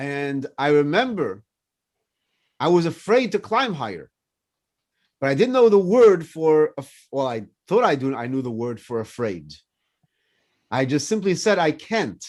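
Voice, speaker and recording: Against a quiet background, a man with a fairly high pitch speaks at a fairly slow pace, with long, frequent pauses, very wide pitch swings and big swings in loudness. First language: French. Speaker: rabbi. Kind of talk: casual chat.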